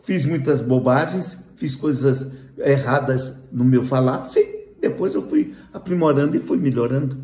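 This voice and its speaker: Fairly slow, somewhat breathy speech from a man with a dark, mellow tone and medium pitch, with audible room echo. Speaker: spiritist lecturer. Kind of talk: lecture.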